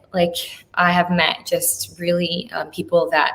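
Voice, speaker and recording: There is noticeable background noise as a woman speaks in a fairly low pitch. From US, Polish immigrant family. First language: Polish. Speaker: actress and model. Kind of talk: casual chat. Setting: podcast interview. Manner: chatty, many fillers.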